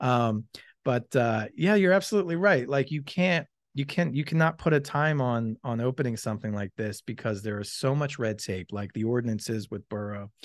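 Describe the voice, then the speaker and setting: An unremarkable speaking voice with an American accent and lively intonation moves at a moderate pace, with a dry, close sound with no echo against a quiet background. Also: man, medium pitch for a man. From Pennsylvania, Philadelphia area (Malvern). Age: 40s. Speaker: restaurant owner. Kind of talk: casual chat. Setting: unfinished restaurant space under construction.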